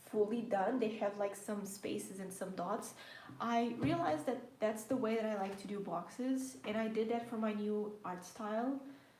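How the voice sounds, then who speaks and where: A woman at a fairly high pitch with a slight Portuguese accent, ordinary pitch variation and a moderate pace, amid audible room echo and noticeable background noise. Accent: slight Portuguese undertone. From Portugal. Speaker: planner and journaling YouTuber. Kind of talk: casual live stream chat while journaling.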